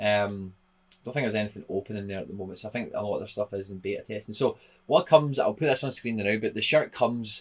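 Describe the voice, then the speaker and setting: A man with a Scottish accent talks at a very fast pace in a fairly low pitch, with ordinary pitch variation and big swings in loudness. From Scotland. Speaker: football content creator; YouTuber reviewing an NFT site. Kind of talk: casual video commentary. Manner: casual, hesitant with fillers. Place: home room.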